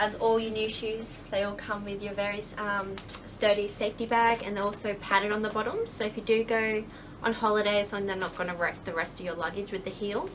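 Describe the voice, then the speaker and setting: With an Australian accent, a woman speaks at a fairly quick pace and medium pitch in a monotone, flat intonation over noticeable background noise. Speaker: shoe reviewer. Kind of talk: casual product review to camera.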